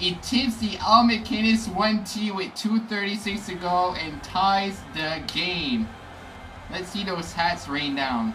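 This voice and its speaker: A man at a very slow pace with music in the background. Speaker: gaming YouTuber. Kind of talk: gameplay commentary, live play-by-play. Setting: home recording over gameplay. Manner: excitable, reactive, exclaiming as plays unfold; hoarse, strained delivery, disappointed at goals against. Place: home room.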